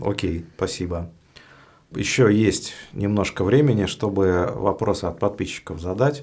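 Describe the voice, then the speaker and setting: A man with an unremarkable speaking voice talks at a fairly slow pace, his pitch fairly low and varying in an ordinary way. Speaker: podcast host. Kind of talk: interview.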